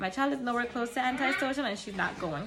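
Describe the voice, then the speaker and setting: A woman talks very fast with lively intonation. Room echo and background noise are both noticeable. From Caribbean. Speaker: mom vlogger. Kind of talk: casual talk to camera. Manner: conversational, with fillers.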